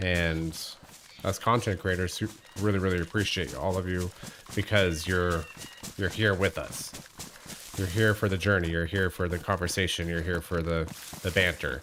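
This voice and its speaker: A man's very deep, low voice at a moderate pace, with fairly even intonation, long, frequent pauses and noticeable background noise. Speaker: gaming livestreamer. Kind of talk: casual livestream chat with viewers. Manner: relaxed, conversational.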